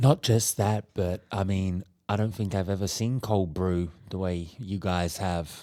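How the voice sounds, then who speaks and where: Very deep and low, a man's voice has a dark, mellow tone and ordinary pitch variation. He speaks at a fairly slow pace with hardly any pauses, in a very clean recording with a silent background. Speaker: podcast co-host. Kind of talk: casual chat.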